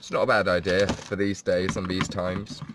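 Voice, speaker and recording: Amid noticeable background noise, a man with a British accent speaks at a moderate pace. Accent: posh British, BBC English. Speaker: live streamer. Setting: at home, self-isolating. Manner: casual, chatty, rambling.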